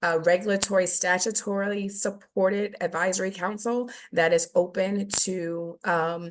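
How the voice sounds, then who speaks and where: Over a quiet background, a woman speaks at a medium pitch with monotone, flat intonation. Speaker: government nursing program presenter. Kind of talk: webinar presentation. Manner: fast.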